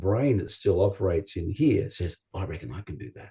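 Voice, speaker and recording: Speaking at a fairly quick pace in an Australian accent, a man has a fairly low pitch and a dark, mellow tone that is somewhat breathy. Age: 60s. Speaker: chiropractor. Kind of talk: interview.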